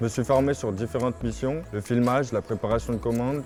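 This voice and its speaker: The delivery comes at a fairly quick pace with fairly even intonation. Noticeable background noise can be heard. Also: man. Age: 20s. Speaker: warehouse forklift operator. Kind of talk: scripted testimonial.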